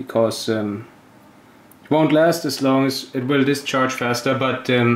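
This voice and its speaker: With a German accent, the speaker talks at a fairly slow pace amid audible room echo. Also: man, medium pitch for a man, fairly even intonation. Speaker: hobbyist experimenter, video maker. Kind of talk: tutorial. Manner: halting.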